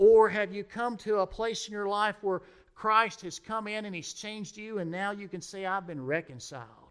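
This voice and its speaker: A raised, projected male voice, high-pitched, with a bright, sharp tone. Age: 40s. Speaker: pastor. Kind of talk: sermon.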